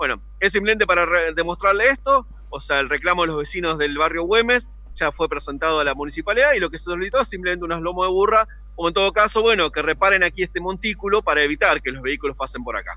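A man speaks at a very fast pace. His pitch is high, with ordinary pitch variation. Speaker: street reporter. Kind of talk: radio news report. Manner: halting, many fillers.

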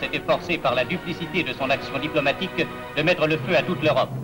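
A man at a fairly quick pace, with ordinary pitch variation and music in the background. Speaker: newsreel narrator. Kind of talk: propaganda newsreel narration.

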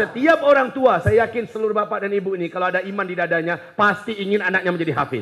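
Over light background noise, a man with a high voice races along at a very fast pace, animated in tone, with ordinary pitch variation and hardly any pauses. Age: 40s. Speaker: Islamic preacher. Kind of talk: sermon. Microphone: handheld.

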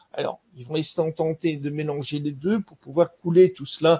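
The man talks at a moderate pace. His voice is fairly high-pitched. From Belgium. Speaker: cryptozoologist and nature guide; nature guide. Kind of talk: online lecture with slides. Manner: hesitant, many fillers.

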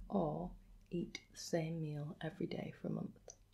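Vocal fry runs through this voice as it moves at a fairly slow pace. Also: woman. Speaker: quiz host. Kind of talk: casual to-camera chat asking quiz questions. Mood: warm, playful, gentle. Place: home room. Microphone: phone near.

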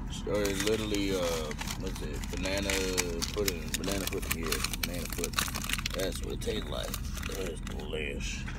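A man speaks with long, frequent pauses against loud background noise. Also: moderate pace, dry sound with no echo. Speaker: vlogger. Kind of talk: casual vlog chat. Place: car. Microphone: phone near.

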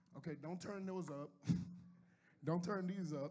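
A man's high-pitched voice with a dark, mellow tone, fairly quick pace and fairly even intonation, plus audible room echo. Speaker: pastor. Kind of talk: sermon.

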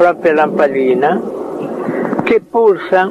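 A man talks while noticeable background noise can be heard. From Italy. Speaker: inventor, researcher. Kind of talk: interview answer. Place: garden. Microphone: handheld.

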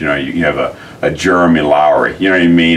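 A man talks over light background noise. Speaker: football coach. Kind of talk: interview answer. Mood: fond, amused reminiscing. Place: office.

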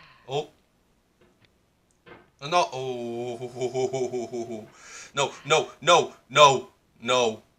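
This man has a medium pitch and speaks with a Scottish accent. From Scotland. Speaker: gamer. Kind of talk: casual gaming commentary. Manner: frustrated, swearing. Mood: frustrated, swearing. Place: home room.

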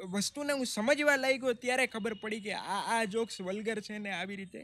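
In a raised, projected voice, a man speaks at an extremely high pitch with a bright, sharp tone and ordinary pitch variation, the sound dry with no echo. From Gujarat, India. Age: young. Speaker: comedian. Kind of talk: interview storytelling. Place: garden. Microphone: studio mic.

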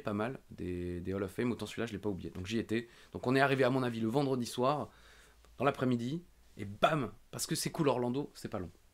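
Here a man talks at a fairly quick pace and a medium pitch. His pitch varies in an ordinary way. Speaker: wrestling podcast host. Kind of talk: casual chat. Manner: fast; animated. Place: home room. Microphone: studio mic.

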